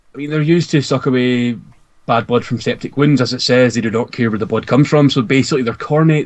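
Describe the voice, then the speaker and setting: A very fast man's voice at a medium pitch with ordinary pitch variation, with a Scottish accent. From Scotland. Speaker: podcast co-host discussing Warhammer lore. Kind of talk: casual chat.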